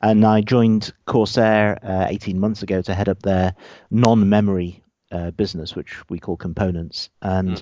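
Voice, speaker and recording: A man with a British accent, fairly low pitch and fairly even intonation. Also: moderate pace. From UK. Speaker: gaming peripherals executive. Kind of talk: interview.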